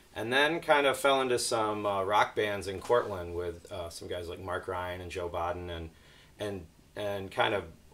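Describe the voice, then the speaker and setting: A man with an American accent talks at a moderate pace in a fairly low pitch, with ordinary pitch variation. It is an unremarkable speaking voice, and his loudness swings widely. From upstate New York, near Watertown. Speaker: trumpet player. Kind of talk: casual interview.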